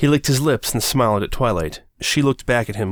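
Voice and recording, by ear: The pitch shifts in an ordinary way while the speaker is reading aloud in a natural voice.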